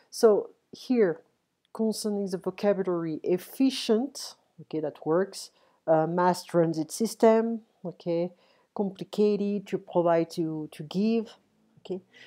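A woman speaks at a medium pitch in a dark, mellow tone. Her pace is fairly slow. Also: ordinary pitch variation, very clean recording, silent background. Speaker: English teacher. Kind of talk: tutorial.

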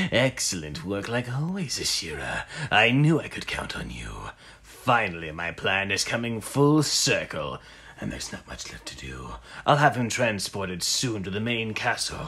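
Over light background noise, a man with medium pitch talks at a moderate pace, his pitch swinging very widely and his loudness shifting a lot. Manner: grandiose, commanding.

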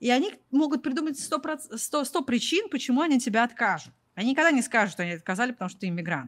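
Against a quiet background, a woman speaks at a fairly quick pace in a fairly high pitch, her voice swinging very widely up and down. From Russia. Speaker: product manager and YouTuber on job search in the US; YouTuber on job search in the US. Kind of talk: interview. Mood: frank, slightly rueful. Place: home room. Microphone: studio mic.

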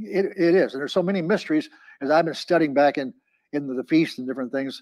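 Over a quiet background, a man talks with lively intonation. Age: 80s+. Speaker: pastor. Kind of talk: sermon. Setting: church. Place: classroom. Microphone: lapel.

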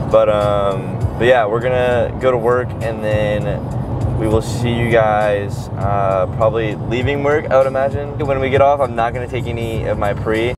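A man at a moderate pace, with music in the background and a dry sound with no echo. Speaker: vlogger. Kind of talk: casual vlog chat. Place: car. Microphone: lapel.

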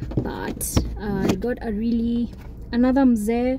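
A woman is speaking, with light background noise. The sound is dry, with no echo. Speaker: vlogger. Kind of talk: casual vlog chat. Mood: relaxed, content. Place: car. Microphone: phone near.

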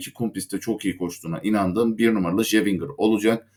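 This man talks at a very fast pace with a fairly low pitch. His pitch varies in an ordinary way. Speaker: horse racing tipster. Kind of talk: betting tips monologue. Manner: halting with fillers.

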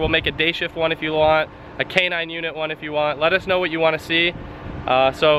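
A man's high-pitched voice at a very fast pace, dry with no echo, over light background noise. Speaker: police department staff vlogger. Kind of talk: casual vlog chat. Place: street. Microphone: phone near.

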